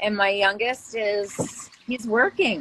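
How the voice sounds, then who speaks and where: A woman with an Upper Midwest accent speaks with ordinary pitch variation against noticeable background noise. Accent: Upper Midwest (Minnesota). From Minnesota, Brainerd Lakes area. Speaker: real estate agent. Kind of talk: casual chat. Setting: video call.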